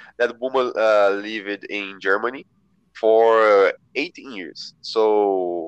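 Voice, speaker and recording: With a Portuguese accent, a man speaks with fairly even intonation. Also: dry, close sound with no echo. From São José dos Campos, Brazil. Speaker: volunteer. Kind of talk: casual chat; reading aloud. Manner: halting.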